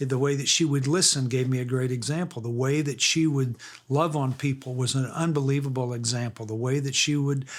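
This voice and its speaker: On a very clean recording with a silent background, a man with a fairly high pitch talks at a moderate pace using ordinary pitch variation. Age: 60s. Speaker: author and radio host. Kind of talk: interview. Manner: halting, repeated words.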